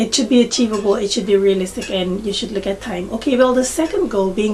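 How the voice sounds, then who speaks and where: Noticeable background noise accompanies a voice with a non-native accent and ordinary pitch variation. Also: woman. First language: not English. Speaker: beauty vlogger. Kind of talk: tutorial. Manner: halting, many fillers.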